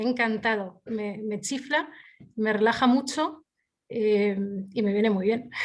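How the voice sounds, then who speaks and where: A woman's fairly high voice at a fairly slow pace, ordinary pitch variation, long, frequent pauses. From Spain. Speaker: arbitrator. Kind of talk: interview.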